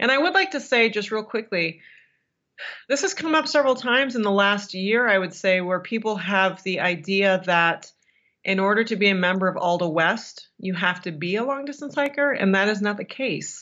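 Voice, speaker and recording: A woman with a normal speaking voice, medium pitch, lively intonation and a moderate pace. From Michigan. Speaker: podcast co-host and long-distance hiker. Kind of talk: casual interview chat.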